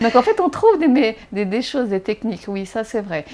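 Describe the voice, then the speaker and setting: A woman's voice has a dark, mellow tone and a fairly high pitch. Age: 40s. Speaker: blind mother, interviewee. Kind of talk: interview. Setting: at home. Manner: animated.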